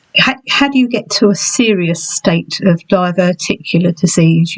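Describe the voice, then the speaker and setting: A woman with an English accent speaks at a fairly slow pace and medium pitch, somewhat breathy. The sound is dry and close, with no echo. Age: 60s. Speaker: health vlogger. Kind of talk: personal vlog. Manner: halting.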